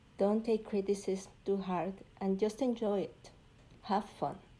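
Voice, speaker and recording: A woman speaks at a very slow pace with a dark, mellow tone at a medium pitch. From Mexico (Puebla). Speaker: visual artist. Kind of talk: recorded artist presentation.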